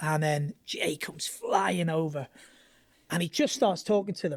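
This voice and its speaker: Her pitch is very deep and low for a woman. She speaks at a fairly slow pace with ordinary pitch variation. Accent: English. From northern England, Southport. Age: 50s. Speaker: former pro skateboarder. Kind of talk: casual interview chat.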